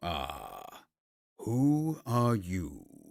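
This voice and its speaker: This is a put-on character voice from a man, growling throughout. His pitch sits in the medium range. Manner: demanding, menacing.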